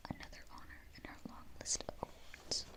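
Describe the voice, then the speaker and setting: Whispered speech in a gentle tone comes through over noticeable background noise. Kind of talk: whispered bedtime storybook reading, ASMR. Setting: studio, quiet close-mic recording. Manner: whispered, soft, gentle.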